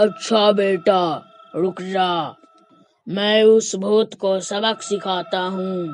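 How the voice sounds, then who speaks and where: At a very slow pace and a middle pitch, a cartoonish character voice speaks over faint background music. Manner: authoritative.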